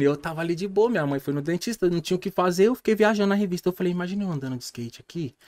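This man's voice sits high in pitch and carries lively intonation. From Brazil. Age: 30s. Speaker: podcast guest. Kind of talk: casual chat. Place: studio. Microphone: studio mic.

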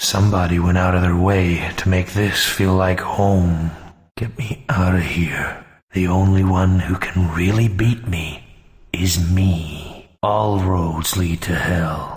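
A man talks at a fairly slow pace. His pitch is very deep and low. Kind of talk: action game one-liners. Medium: machinima. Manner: gruff, deadpan, sardonic.

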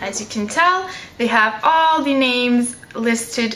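With audible room echo and light background noise, a woman talks at a high pitch with lively intonation. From Canada. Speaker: beauty YouTuber. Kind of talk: product review. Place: home room. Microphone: camera far.

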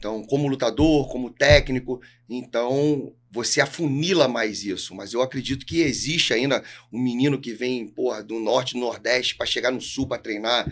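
A man speaks in an ordinary speaking voice with a medium pitch. His pace is moderate and his intonation fairly even. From Brazil, Rio de Janeiro. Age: 40s. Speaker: jiu-jitsu coach. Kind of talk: podcast interview. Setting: studio. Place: studio. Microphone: studio mic.

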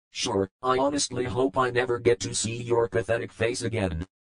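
A man speaks in a put-on character voice. His pitch is medium and his pace moderate. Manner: scornful toward ex-boss, then nervous warning.

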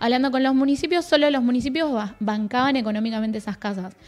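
A woman's high-pitched voice at a very fast pace, with faint music in the background. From Argentina. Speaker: provincial youth director, government official; guest. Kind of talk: casual interview chat. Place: studio. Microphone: studio mic.

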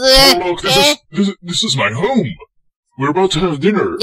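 A man puts on a cartoonish character voice with a high pitch, a raised, projected delivery and very wide pitch swings. He goes at a fairly slow pace, and the sound is dry and close with no echo. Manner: gruff, exasperated.

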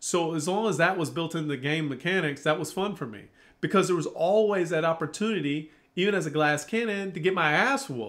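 Ordinary pitch variation marks this man's high voice at a fairly quick pace. The background is quiet. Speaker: gaming video creator. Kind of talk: angry rant about a video game. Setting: home, child nearby interrupting. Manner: irate, ranting; repetitive, stumbling, talks in run-on sentences. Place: home room.

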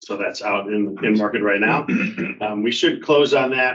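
A man's voice at a moderate pace with ordinary pitch variation. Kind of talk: meeting report. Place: home room. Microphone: video call.

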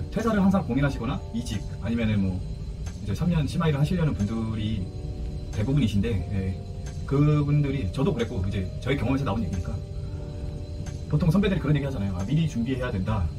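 A man speaks at a very fast pace, with long, frequent pauses and very wide pitch swings. Clear music plays in the background. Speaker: ship's first officer on a chemical tanker. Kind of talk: casual advice talk to camera. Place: home room. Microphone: phone near.

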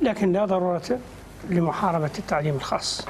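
The speech moves at a fast pace. Its pitch variation is ordinary. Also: man, high pitch for a man.

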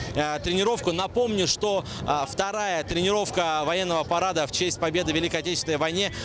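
Over noticeable background noise, a man with a high pitch speaks at a fairly quick pace with fairly even intonation, the sound dry with no echo. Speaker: TV news reporter. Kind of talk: live news report. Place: street. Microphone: handheld.

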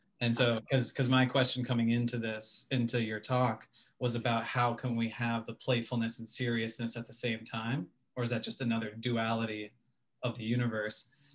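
With monotone, flat intonation, a man delivers his words at a moderate pace. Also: medium pitch for a man. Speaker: audience participant. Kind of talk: question and answer. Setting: video call. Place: home room. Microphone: video call.

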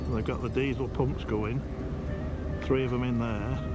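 Clear music plays in the background as a man talks at a moderate pace. The sound is dry, with no echo. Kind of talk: casual vlog commentary. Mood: wry, joking. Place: waterside. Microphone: phone near.

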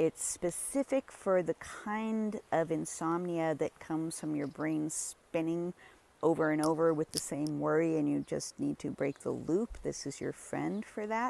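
Speaking at a fairly slow pace, a woman with a fairly low pitch and a dark, mellow tone shows ordinary pitch variation in a dry recording with no echo. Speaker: herbalist plant walk guide. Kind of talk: tutorial. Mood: warm, enthusiastic. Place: garden. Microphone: phone near.

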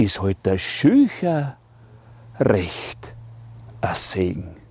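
Speaking at a very slow pace with very wide pitch swings, a man in a Styrian accent is heard in a dry sound with no echo. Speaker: musician. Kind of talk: poetry reading. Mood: humorous, warm, expressive. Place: garden.

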